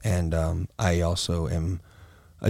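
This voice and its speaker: A man with an American accent, recorded with a dry, close sound and no echo. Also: very clean recording, silent background. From Florida, US. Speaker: adult film performer and director. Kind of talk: casual interview chat.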